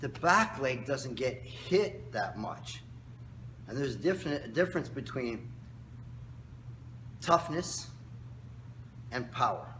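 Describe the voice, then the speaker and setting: With vocal fry and lively intonation, a man speaks at a fairly slow pace amid audible room echo. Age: 60s. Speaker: karate instructor. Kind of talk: tutorial. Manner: casual, instructive.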